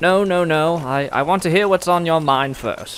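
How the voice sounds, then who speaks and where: Moderately paced, high-pitched speech from a man in a put-on character voice. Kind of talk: audio drama.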